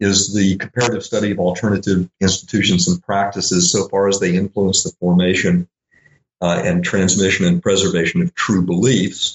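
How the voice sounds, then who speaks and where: Speaking at a fairly quick pace with an American accent, a man uses an ordinary speaking voice at a fairly low pitch. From US South, Little Rock, Arkansas. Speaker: philosophy professor. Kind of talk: interview.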